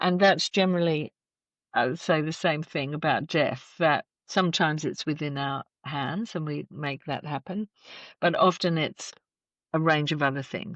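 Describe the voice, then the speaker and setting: A woman with an Australian accent speaks at a moderate pace in a very deep, low pitch with fairly even intonation. The sound is dry and close with no echo, over a quiet background. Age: 60s. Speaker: death care educator and celebrant. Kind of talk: podcast interview. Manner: reflective, measured.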